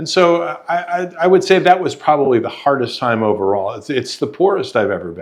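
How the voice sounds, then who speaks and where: The speech runs at a fairly quick pace with vocal fry, very wide pitch swings and big swings in loudness. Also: man, fairly high pitch for a man. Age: 70s. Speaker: software professional and podcast guest. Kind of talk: interview.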